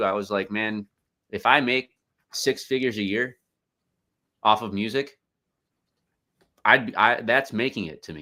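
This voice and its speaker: Speaking with an American accent in a bright, sharp tone, a man at medium pitch keeps a moderate pace with ordinary pitch variation, big swings in loudness, and long, frequent pauses. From Chicago. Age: 30s. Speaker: independent hip-hop artist. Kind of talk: podcast interview, casual chat. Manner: halting, repeated words.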